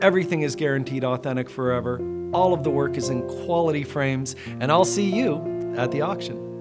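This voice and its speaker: Music plays in the background as a man with an American accent speaks at a fairly quick pace. His medium-pitched voice has a warm tone. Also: ordinary pitch variation. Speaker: fine art auctioneer and TV host. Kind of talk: casual talk to camera, promotional introduction. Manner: friendly, conversational, warm.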